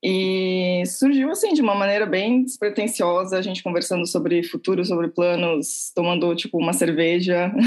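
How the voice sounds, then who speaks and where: Speaking at a moderate pace with hardly any pauses, a woman has a medium pitch, ordinary pitch variation and an unremarkable speaking voice. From Santos, São Paulo coast, Brazil. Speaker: cultural venue co-founder. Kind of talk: interview.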